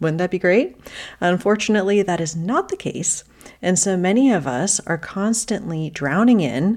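A plain, everyday voice from a woman at medium pitch, lively in intonation, moderate in pace, over a very clean recording with a silent background. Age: 40s. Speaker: podcast host, decluttering coach. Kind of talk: solo podcast talk, advice.

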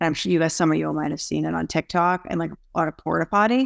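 Very fast speech with an American accent comes through a dry, close sound with no echo on a very clean recording with a silent background. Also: woman. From US, Boston area. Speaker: recovery advocate. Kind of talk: casual group chat.

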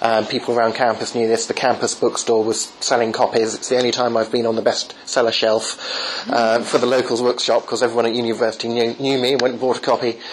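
A man with an English accent speaks at a medium pitch, very fast and with hardly any pauses, in a monotone, flat intonation over noticeable background noise. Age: 30s. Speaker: apologetics author. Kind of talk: interview. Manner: halting.

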